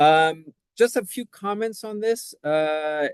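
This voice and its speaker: The man's voice is fairly high in pitch with ordinary pitch variation. His sound is dry and close with no echo. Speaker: professor leading a dissertation webinar. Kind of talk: webinar lecture. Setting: online webinar. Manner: fast; hesitant, many fillers and restarts.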